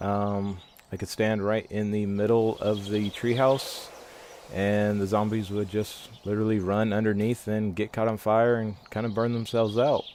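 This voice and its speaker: Monotone, flat intonation at a moderate pace. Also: man, fairly low pitch for a man. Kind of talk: game voice-over. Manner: hesitant.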